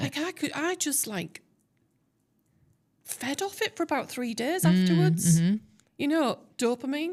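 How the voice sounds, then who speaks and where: On a very clean recording with a silent background, a woman with a Teesside accent speaks at a moderate pace in a high pitch, her voice swinging very widely and broken by long, frequent pauses. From Teesside, England. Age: 60s. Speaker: TEDx speaker, tech consultant. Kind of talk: interview answer. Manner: candid, casual.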